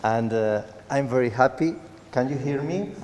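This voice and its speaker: A man with a non-native accent speaks fairly slowly. His pitch variation is ordinary, and there is noticeable background noise. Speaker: cancer survivor. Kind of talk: testimony. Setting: church stage with audience. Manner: halting.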